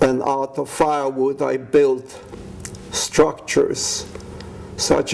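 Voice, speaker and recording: A man with a Polish accent speaks at a very slow pace. There is noticeable background noise. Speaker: war veteran. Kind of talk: life story testimony.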